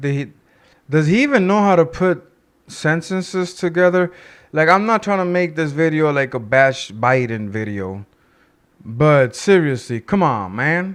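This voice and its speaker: This man speaks with a Spanish accent at a fairly slow pace, his pitch fairly high. His intonation is lively, and the background is quiet. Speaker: political commentary youtuber. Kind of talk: casual commentary. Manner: halting.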